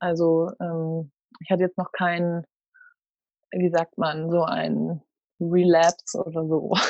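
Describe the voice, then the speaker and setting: Her pace is very slow. This woman speaks at a fairly low pitch. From Münster, Germany. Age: 20s. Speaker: former retreat participant, student and freelance journalist. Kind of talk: casual interview.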